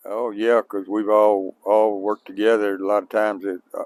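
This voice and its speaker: Dry and close with no echo, a man speaks in a fairly low, monotone, flat voice at a moderate pace. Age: 80s+. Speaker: farmer. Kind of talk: interview. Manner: halting.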